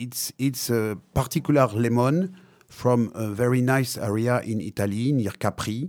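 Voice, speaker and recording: A man with a French accent talks at a fairly slow pace with ordinary pitch variation. The recording is very clean, the background silent. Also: medium pitch for a man. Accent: French accent, non-native English. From Africa (born Madagascar), French-speaking. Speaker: wine and spirits company manager. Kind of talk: interview. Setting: studio. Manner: halting, many hesitations.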